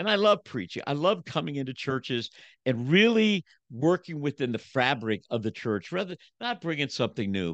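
Animated speech at a moderate pace, with very wide pitch swings and vocal fry, in a dry, close sound with no echo and a quiet background. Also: man. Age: 70s. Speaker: motivational speaker and preacher. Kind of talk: casual interview chat.

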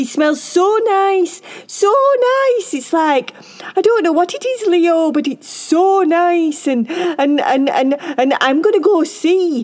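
Putting on a character voice with an extremely high pitch, a woman speaks slowly with lively intonation, few pauses, and a slightly mellow tone over faint background noise.

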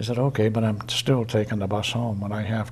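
In an Eastern New England accent, a man talks at a moderate pace in a flat monotone, with audible room echo around him. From Easton, Massachusetts. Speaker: retiree sharing local memories. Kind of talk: oral history interview.

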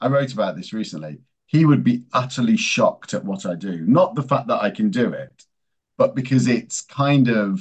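A man with an English accent speaks at a medium pitch, his voice swinging very widely in pitch and dipping into vocal fry. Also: moderate pace. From England. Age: 50s. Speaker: strategy executive in advertising. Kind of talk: interview.

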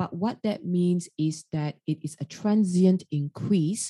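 A woman's fairly low, somewhat breathy voice, ordinary in pitch variation, dry and close with no echo. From Australia, Sydney. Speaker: radiation oncologist. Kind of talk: casual interview.

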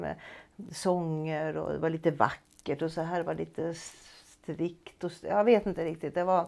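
A woman speaks in a normal speaking voice, fairly low in pitch, at a moderate pace. The recording is very clean with a silent background. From Stockholm, Sweden. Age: 60s. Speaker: retired music teacher. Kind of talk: personal testimony.

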